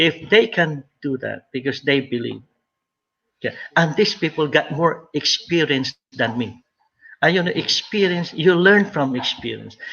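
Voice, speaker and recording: With vocal fry, a man talks at a fairly slow pace in a fairly high pitch, using ordinary pitch variation. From Philippines. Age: 60s. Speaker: retired nurse, business recruiter. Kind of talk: interview.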